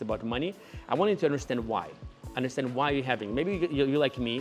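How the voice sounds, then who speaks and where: A man with a medium pitch speaks with lively intonation while music plays in the background. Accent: non-native. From Ukraine. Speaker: entrepreneur. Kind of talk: casual talk to camera.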